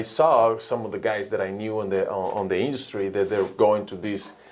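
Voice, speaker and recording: With a Spanish accent, a man speaks fairly quickly at a fairly low pitch. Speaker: sports recruiting advisor. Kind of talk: podcast interview.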